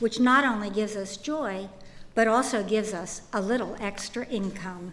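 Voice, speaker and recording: With audible room echo, a woman speaks at a fairly slow pace in a fairly high voice with ordinary pitch variation. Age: 70s. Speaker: retiree sharing health story. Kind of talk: testimony. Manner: formal.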